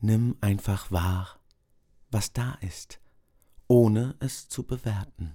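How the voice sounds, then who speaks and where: Speaking at a very slow pace with long, frequent pauses, a man uses a fairly low, somewhat breathy voice with a dark, mellow, gentle and calm tone and ordinary pitch variation. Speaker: meditation guide. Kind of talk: guided meditation, body scan. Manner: slow, calm, soothing with long pauses; soft-spoken, gentle.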